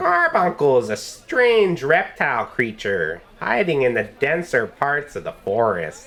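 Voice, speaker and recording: The speaker uses a put-on character voice at a low-to-middle pitch. The pace is fairly slow. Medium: actual play. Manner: curt, evasive.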